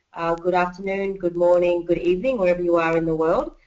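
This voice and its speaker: A woman speaks with an Australian accent. Her voice sits fairly low in pitch. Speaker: network marketing presenter. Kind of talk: webinar training presentation. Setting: online webinar call.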